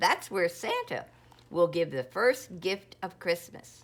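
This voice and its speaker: A woman uses a put-on character voice at a medium pitch. She speaks at a fairly slow pace. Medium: read story.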